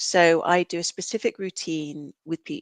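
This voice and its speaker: Against a quiet background, a woman with a British accent talks at a fairly slow pace, the sound dry and close with no echo. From UK. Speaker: counsellor and reflexologist. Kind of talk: podcast interview.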